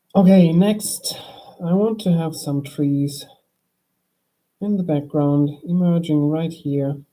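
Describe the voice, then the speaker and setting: Soft-spoken and at a very slow pace, the voice comes with long, frequent pauses. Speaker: drawing streamer. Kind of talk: drawing tutorial chat. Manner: calm, soft-spoken.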